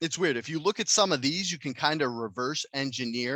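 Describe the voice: The reading here is plain and aloud.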